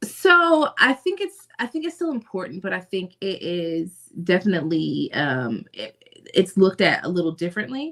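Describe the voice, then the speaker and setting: A woman at a moderate pace, with big swings in loudness. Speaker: podcast co-host. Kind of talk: casual chat.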